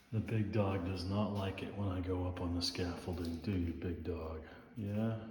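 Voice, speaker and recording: A man speaks at a moderate pace with a very deep, low pitch and fairly even intonation. Room echo is audible. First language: not English. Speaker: home renovator vlogger. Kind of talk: casual vlog walkthrough. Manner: halting, with fillers and self-corrections.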